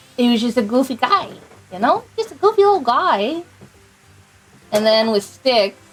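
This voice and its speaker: A woman's high voice with very wide pitch swings, a moderate pace, long and frequent pauses, and music in the background. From US Northeast. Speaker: video game streamer. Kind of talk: casual live-stream chat while gaming. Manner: halting, many fillers.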